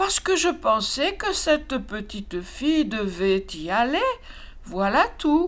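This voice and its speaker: In a put-on character voice, a woman speaks high-pitched with very wide pitch swings at a fairly slow pace. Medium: read story. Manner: cooing, chirping.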